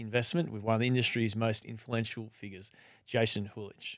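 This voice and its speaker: Dry and close with no echo, this very clean recording with a silent background carries a man's normal speaking voice at medium pitch and a fairly quick pace. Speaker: podcast host. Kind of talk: interview, scripted intro.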